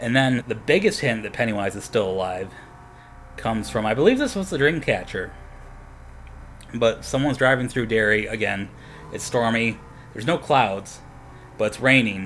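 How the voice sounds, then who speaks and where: Soft-spoken and medium in pitch, a man talks at a moderate pace with ordinary pitch variation and long, frequent pauses. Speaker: podcast host. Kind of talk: casual monologue. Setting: home apartment at night. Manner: quiet, speaking softly.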